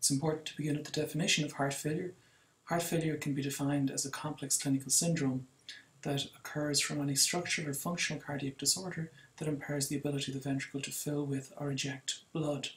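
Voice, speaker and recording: A somewhat breathy man with an Irish accent speaks very fast in a fairly high pitch, his intonation flat and monotone. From Ireland. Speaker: cardiologist lecturer. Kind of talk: lecture.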